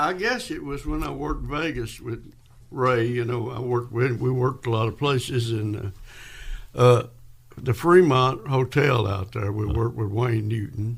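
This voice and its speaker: A man speaks at a moderate pace with a Kentucky accent. His voice is medium-pitched and somewhat breathy, with ordinary pitch variation. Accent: US Southern, Kentucky. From West Kentucky. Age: 80s+. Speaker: country and rockabilly musician. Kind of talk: casual interview. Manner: halting.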